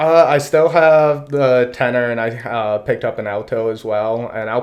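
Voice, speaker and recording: Noticeable background noise runs beneath the recording. A man talks with fairly even intonation. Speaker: musician. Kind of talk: casual chat. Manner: loud.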